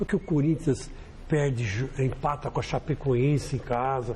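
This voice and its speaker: Here is a plain, everyday voice from a man with a fairly high pitch. He keeps a moderate pace and ordinary pitch variation. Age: 60s. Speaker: football pundit. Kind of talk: panel discussion.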